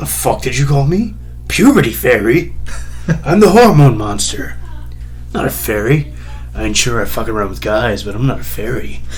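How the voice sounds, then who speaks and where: A man uses a put-on character voice with a fairly low pitch. Clear background noise runs underneath. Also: moderate pace. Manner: gruff, indignant.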